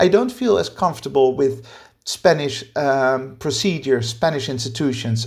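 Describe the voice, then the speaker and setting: Somewhat breathy delivery at a moderate pace. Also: man. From Netherlands. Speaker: podcast co-host. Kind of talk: casual discussion.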